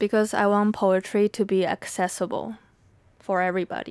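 With a Mandarin accent, a woman at medium pitch talks at a moderate pace, her sound dry and close with no echo on a very clean recording with a silent background. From Taiwan. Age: 20s. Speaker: podcast host and poet. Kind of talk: solo podcast monologue. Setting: home recording room. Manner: conversational, reflective.

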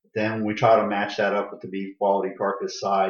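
This man has an ordinary speaking voice with an American accent. His pitch is fairly low and his pace fairly quick. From Florida, Tampa area. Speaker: county extension agent. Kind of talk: interview.

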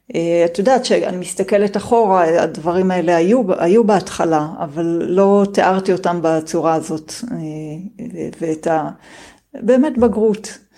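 A woman speaks very slowly in a calm tone at medium pitch. Her pitch varies in an ordinary way. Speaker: homeschooling mother of four, programmer. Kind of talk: interview guest talk.

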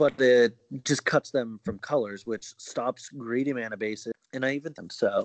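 This is an ordinary speaking voice from a man at medium pitch and a moderate pace. His loudness swings a lot. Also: ordinary pitch variation. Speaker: co-host or regular guest, card game player. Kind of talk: casual banter podcast chat. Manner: profane, casual.

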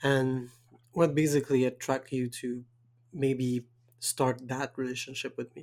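A man's medium-pitched voice in a Quebec accent, at a fairly slow pace, with monotone, flat intonation, long, frequent pauses and big swings in loudness. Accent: French Canadian accent in English. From Quebec, Canada. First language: French. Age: 20s. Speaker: podcast host. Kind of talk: casual chat, podcast conversation.

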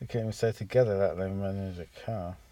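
A man with an English accent speaks at a moderate pace in a fairly low pitch with a dark, mellow tone and fairly even intonation. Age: 30s. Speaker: podcast co-host. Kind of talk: casual chat.

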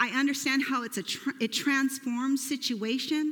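Loud and at a fairly slow pace, a woman speaks with a high pitch and a bright, sharp tone. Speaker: pastor. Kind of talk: sermon. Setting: church.

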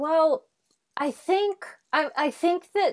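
Here is a woman speaking. She has an American accent. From Nebraska, Omaha. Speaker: actress and improviser. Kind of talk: casual chat. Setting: video call.

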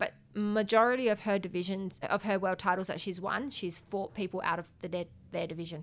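Speaking in an Australian accent, a woman with a medium pitch and a bright, sharp tone keeps a moderate pace and fairly even intonation. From South Australia, Adelaide. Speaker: professional boxer. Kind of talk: interview.

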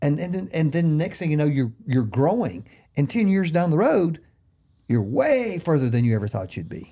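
At a moderate pace, a man with a fairly high pitch, a dark, mellow tone and a somewhat breathy quality speaks with very wide pitch swings on a very clean recording with a silent background. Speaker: pastor. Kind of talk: casual interview. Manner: warm, encouraging.

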